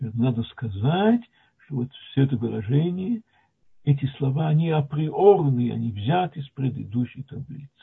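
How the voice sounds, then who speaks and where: In an ordinary speaking voice, a man talks at a moderate pace with a fairly high pitch, lively intonation and big swings in loudness. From Latvia (Soviet Union). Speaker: retired mathematician, lecturer. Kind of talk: lecture.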